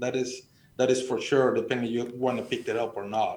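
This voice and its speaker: A man with a Mexican accent talks at a fairly quick pace. The room echo is audible. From Sonora, Mexico. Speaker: extension specialist. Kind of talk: radio panel discussion. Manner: halting, many repetitions.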